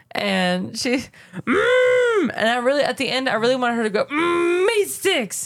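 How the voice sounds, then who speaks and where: With an American accent, a woman speaks at a fairly slow pace in an animated tone, with hardly any pauses and very even loudness, against noticeable background noise. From US South. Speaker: podcast co-host and nurse. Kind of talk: casual chat.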